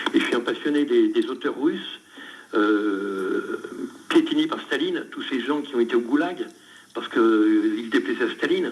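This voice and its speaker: A man talks at an even, moderate speed while noticeable noise fills the background. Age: 70s. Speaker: former prisoner turned writer. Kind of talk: radio interview. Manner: halting.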